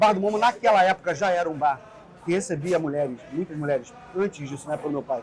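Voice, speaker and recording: A man talks at a fairly quick pace, and noticeable background noise is present throughout. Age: 40s. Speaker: bar co-owner. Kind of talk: interview testimony.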